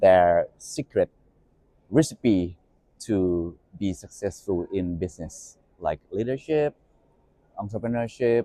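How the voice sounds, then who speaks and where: At a fairly slow pace, a man with a Thai accent speaks in a dark, mellow tone at fairly low pitch with ordinary pitch variation, the sound dry and close with no echo. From Thailand, Bangkok. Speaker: media executive and podcast host. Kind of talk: interview.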